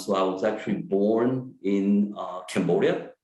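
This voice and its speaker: Audible room echo comes through in this clip. A man speaks at a fairly low pitch with fairly even intonation. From France. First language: French. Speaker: psychiatrist. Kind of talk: lecture. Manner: halting, many fillers.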